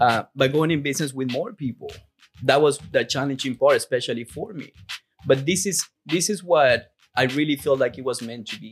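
A man with a Peruvian accent speaks at a moderate pace in a fairly high pitch, with ordinary pitch variation and big swings in loudness while music plays in the background. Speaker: roofing company CEO. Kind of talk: casual podcast interview.

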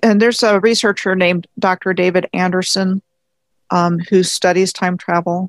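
A woman's moderately paced voice in an American accent, monotone and flat, with very even loudness and a very clean recording over a silent background. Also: medium pitch for a woman. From Maryland, US (Montgomery County, near Washington D.C.). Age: 50s. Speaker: independent history researcher and video blogger. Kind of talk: interview.

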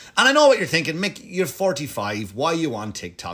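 An animated man with a bright, sharp tone and an Irish accent, on a very clean recording with a silent background. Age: 40s. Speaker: comedian and podcast host. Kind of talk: casual monologue.

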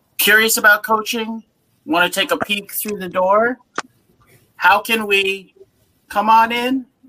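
The voice is raised and projected. It moves at a moderate pace. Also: man. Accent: American. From Massachusetts (Worcester). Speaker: university rugby coach. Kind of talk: panel discussion.

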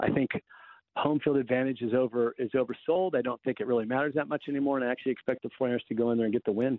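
Very fast speech from a man, medium in pitch, the pitch shifting in an ordinary way. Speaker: NFL analyst. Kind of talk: sports analysis chat.

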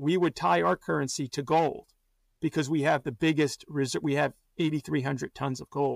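A man with a fairly high pitch, lively intonation and vocal fry, at a moderate pace, on a very clean recording with a silent background. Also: dry, close sound with no echo. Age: 40s. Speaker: portfolio manager. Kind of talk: interview. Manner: halting, many fillers.

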